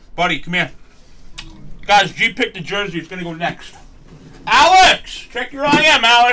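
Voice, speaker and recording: Using a raised, projected voice, a man with a high pitch speaks at a moderate pace with very wide pitch swings and long, frequent pauses. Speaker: card break host. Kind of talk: casual live stream chat. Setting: live stream, studio. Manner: loud, animated; excitable. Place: studio.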